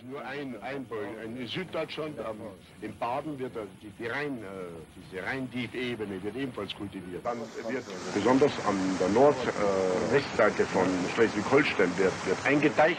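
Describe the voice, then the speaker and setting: Noticeable background noise sits behind a man's voice. He speaks at a fairly slow pace with ordinary pitch variation. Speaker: political leader. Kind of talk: informal spoken explanation about land reclamation. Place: street. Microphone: old recording.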